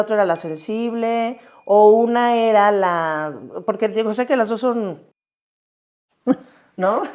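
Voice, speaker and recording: Lively intonation marks this fairly slow delivery on a very clean recording with a silent background. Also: woman. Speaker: podcast host. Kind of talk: podcast interview questions. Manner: casual, conversational.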